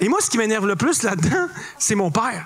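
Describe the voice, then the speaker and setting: Someone with a Quebec accent swings through a very wide pitch range. Noticeable background noise and audible room echo surround the voice. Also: man. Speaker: comedian. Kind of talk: stand-up. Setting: stage with audience.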